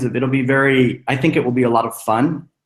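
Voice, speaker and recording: An ordinary speaking voice with fairly even intonation, at a moderate pace. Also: man. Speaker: screenwriter and teacher. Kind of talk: webinar talk.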